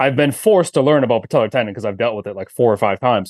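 This is a man speaking at a medium pitch. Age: 30s. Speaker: performance coach and tendon expert. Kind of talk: casual chat.

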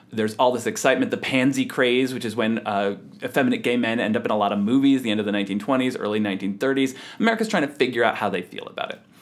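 With noticeable background noise behind him, a man talks very fast at a medium pitch with fairly even intonation. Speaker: historian and author. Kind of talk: interview conversation.

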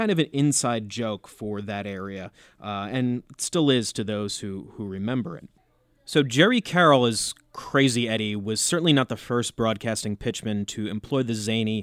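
A man with an American accent has an ordinary speaking voice at medium pitch, with ordinary pitch variation, a moderate pace and big swings in loudness. The recording is very clean, with a silent background and a dry, close sound with no echo. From US Northeast, New Jersey. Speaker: podcast co-host. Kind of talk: casual chat.

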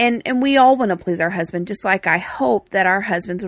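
With a Texas accent, a woman talks at a fairly quick pace in a bright, sharp tone with lively intonation. The recording is very clean, with a silent background and a dry, close sound with no echo. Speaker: co-host of marriage podcast. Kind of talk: casual conversational podcast chat.

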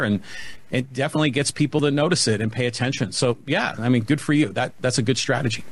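A man with a Californian accent at a medium pitch. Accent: General American (Californian). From US West Coast, San Francisco Bay Area. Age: 50s. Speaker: podcast host and marketing business owner. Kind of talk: casual chat.

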